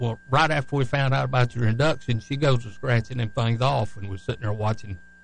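A man with a Southern US accent speaks at a moderate pace and medium pitch with ordinary pitch variation, over noticeable background noise. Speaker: radio co-host, former racing team manager. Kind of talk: casual radio talk show. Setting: studio.

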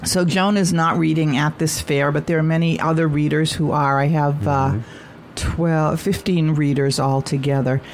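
Over noticeable background noise, a woman with a very deep, low pitch talks at a moderate pace, her intonation fairly even and her loudness very even. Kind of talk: radio interview.

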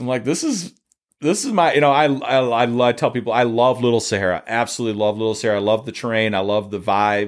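In a Michigan accent, someone talks at a very fast pace with ordinary pitch variation, in a very clean recording with a silent background. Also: man, medium pitch for a man. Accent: Midwestern US (Michigan). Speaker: dune photographer and car fabricator. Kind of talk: casual interview conversation. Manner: talkative, animated storytelling.

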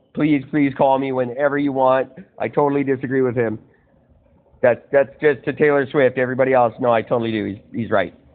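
A man with an unremarkable speaking voice talks at a fairly quick pace in a medium pitch, his intonation fairly even. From Kelowna, British Columbia, Canada. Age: 40s. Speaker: podcast host. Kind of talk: casual chat. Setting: phone call.

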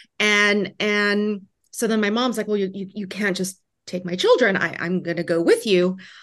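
With an unremarkable speaking voice, a woman speaks at a medium pitch and a moderate pace, with fairly even intonation and a quiet background. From Vietnam, refugee raised in US. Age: 40s. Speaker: immigration attorney and restaurateur. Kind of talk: interview.

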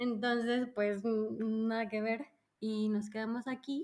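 Her voice sits fairly high for a woman. She delivers every line in a monotone, flat intonation. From Mexico, Mérida (Yucatán). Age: 30s. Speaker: psychologist turned UX professional, expat. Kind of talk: casual interview chat.

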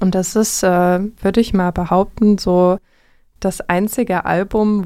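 A woman's dark, mellow voice at medium pitch, very slow pace, on a very clean recording with a silent background. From Vogtland, Saxony, Germany. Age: 20s. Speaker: radio host and music teacher. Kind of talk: casual music radio chat. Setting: radio studio.

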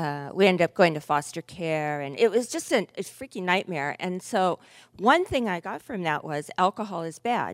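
A woman's medium-pitched voice at a moderate pace, with big swings in loudness, a dry, close sound with no echo, and a very clean recording over a silent background. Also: lively intonation. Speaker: recovery meeting speaker. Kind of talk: testimony. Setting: stage with audience. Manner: soft-spoken.

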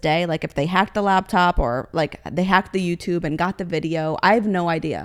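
Speaking at a fairly quick pace with a fairly low pitch, a woman with an American accent is heard in a very clean recording with a silent background. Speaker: car model and influencer. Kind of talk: casual interview chat.

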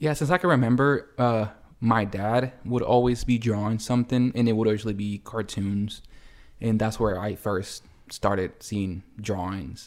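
A man speaks at a moderate pace with medium pitch and ordinary pitch variation in a plain, everyday voice, on a very clean recording with a silent background. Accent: American. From El Salvador, split with US. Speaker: painter and muralist. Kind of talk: casual interview. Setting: home kitchen table.

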